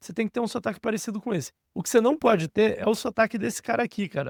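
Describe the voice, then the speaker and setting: A man talks very fast with lively intonation, recorded very cleanly, dry and close, with a silent background and no echo. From Brazil. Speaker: career coach / online educator. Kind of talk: casual tutorial monologue. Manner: informal, animated.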